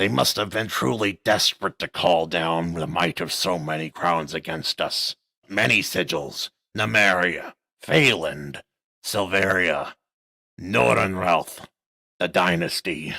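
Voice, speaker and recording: A man's put-on character voice, very deep and low, raspy and guttural. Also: fairly slow pace. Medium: read story.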